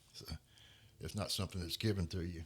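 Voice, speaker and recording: This man talks at a very fast pace, his voice somewhat breathy. His pitch is very deep and low, with ordinary pitch variation. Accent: Louisiana. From Louisiana. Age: 60s. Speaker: Marine veteran. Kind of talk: interview. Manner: halting, many repetitions and fillers.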